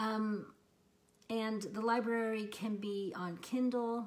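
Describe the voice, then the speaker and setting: A woman with a fairly high pitch talks at a very slow pace. Audible room echo surrounds her voice. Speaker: lifestyle vlogger. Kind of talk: casual talk to camera. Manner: hesitant, many ums.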